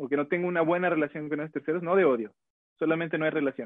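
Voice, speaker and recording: A man's fairly high-pitched voice. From Mexico, Guadalajara. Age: 20s. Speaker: fashion designer. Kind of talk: casual chat.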